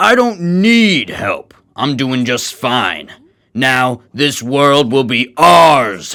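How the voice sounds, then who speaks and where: At a very slow pace, a man performs a put-on character voice at a medium pitch. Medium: audio drama. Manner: taunting, arrogant.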